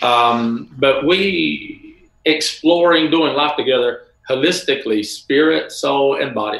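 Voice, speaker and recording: In an American accent, a man speaks at a very slow pace against a quiet background with audible room echo. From US South (Bible Belt). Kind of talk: casual interview chat. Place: home room.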